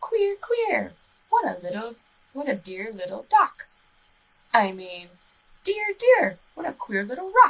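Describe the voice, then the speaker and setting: Putting on a character voice, a woman speaks high and projected at a fairly slow pace, broken by long, frequent pauses. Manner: muddled, playful.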